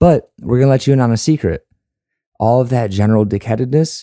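A man with an American accent at a fairly quick pace, dark and mellow in tone, on a very clean recording with a silent background. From Chicago. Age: 30s. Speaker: podcast co-host, military veteran. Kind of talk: scripted intro monologue; casual chat.

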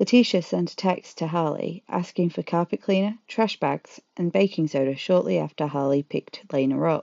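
A woman with an ordinary speaking voice talks at a moderate pace and a fairly low pitch, with ordinary pitch variation and hardly any pauses. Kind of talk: true-crime narration. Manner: grave, measured storytelling tone with emotional, indignant edge.

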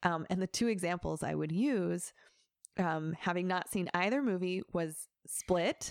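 Speaking at a fairly slow pace, a woman has an unremarkable speaking voice, fairly low in pitch with ordinary pitch variation, recorded very cleanly against a silent background with a dry, close sound and no echo. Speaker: guest expert on psychology and fandom. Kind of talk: casual chat.

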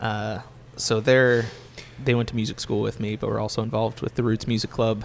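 In an American accent, a man talks at a moderate pace with monotone, flat intonation. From Pittsburgh, Pennsylvania. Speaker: musician and guitar teacher. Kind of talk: casual interview chat. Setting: coffee shop.

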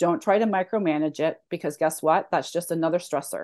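Over a quiet background, a woman speaks at a fairly quick pace with fairly low pitch and ordinary pitch variation. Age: 50s. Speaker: fat loss coach. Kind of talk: casual chat.

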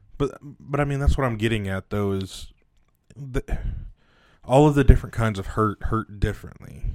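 In a very clean recording with a silent background, a man at a medium pitch talks at a moderate pace with ordinary pitch variation and long, frequent pauses. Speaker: podcast host. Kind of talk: casual banter podcast. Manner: joking, bantering.

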